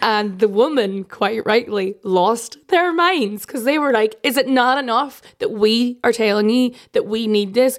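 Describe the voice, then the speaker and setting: Speaking in an Irish accent, a woman has a fairly high pitch and an animated tone. Her pitch variation is ordinary. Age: 30s. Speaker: political journalist. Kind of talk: casual chat.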